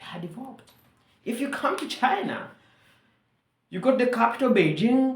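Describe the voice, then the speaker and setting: A woman with a Ugandan accent speaks at a high pitch and a moderate pace with lively intonation. She pauses long and often. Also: big swings in loudness. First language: Luganda. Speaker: vlogger. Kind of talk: monologue commentary.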